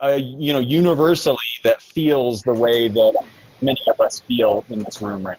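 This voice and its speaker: Recorded dry and close with no echo, a man with an ordinary speaking voice talks at a moderate pace and a fairly high pitch. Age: 40s. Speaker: audience participant in online discussion. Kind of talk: casual chat.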